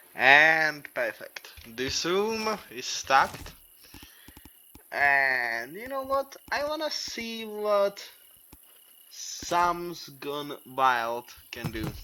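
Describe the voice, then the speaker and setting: Speaking at a very slow pace with a non-native accent, the voice leaves long, frequent pauses. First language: not English. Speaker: gaming youtuber. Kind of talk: gameplay commentary. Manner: animated.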